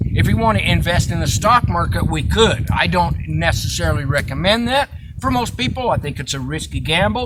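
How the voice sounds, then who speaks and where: Noticeable background noise and audible room echo accompany a man speaking. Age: 60s. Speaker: off-grid living vlogger. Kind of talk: casual chat. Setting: outdoors by a campfire. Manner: hesitant with frequent uh fillers.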